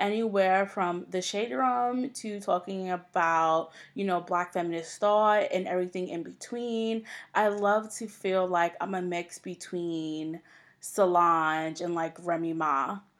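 Speaking in a New York accent at a fairly slow pace with ordinary pitch variation, the voice comes through on a very clean recording with a silent background. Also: woman, medium pitch for a woman. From New York, Long Island. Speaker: podcast host. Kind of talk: solo podcast intro monologue. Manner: casual, with fillers.

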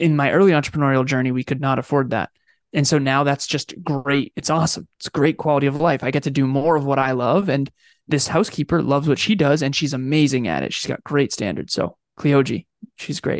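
A man in an ordinary speaking voice talks at a fairly quick pace with a fairly high pitch and fairly even intonation, recorded dry and close with no echo against a quiet background. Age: 30s. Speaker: business coach. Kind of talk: interview.

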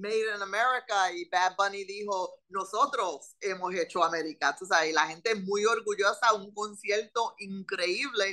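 A woman's medium-pitched, bright and sharp voice at a fairly slow pace. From Puerto Rican, raised in Philadelphia. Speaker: politician. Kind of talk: interview.

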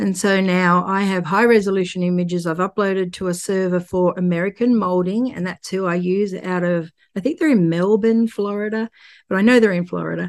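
This woman has an Australian accent and fairly even intonation. She talks at a fairly quick pace. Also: medium pitch for a woman, quiet background. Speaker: artist and real estate investor. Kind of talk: casual interview chat.

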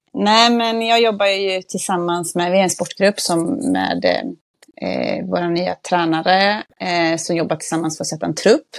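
Recorded very cleanly against a silent background, a woman speaks at a fairly slow pace and medium pitch in a normal speaking voice with ordinary pitch variation. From Västergötland, Sweden. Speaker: football club manager and youth coach. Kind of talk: casual podcast interview.

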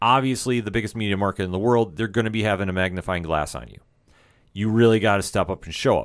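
On a very clean recording with a silent background, a man speaks at a very fast pace, with a fairly low pitch, ordinary pitch variation and big swings in loudness. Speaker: sports podcast host. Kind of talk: casual chat. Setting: studio. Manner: stutters a little in intro.

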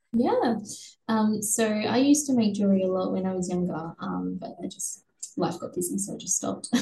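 Talking at a fairly quick pace in an Australian accent, a woman holds a medium pitch with ordinary variation. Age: 20s. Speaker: bereaved partner and blood donor. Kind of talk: interview testimony.

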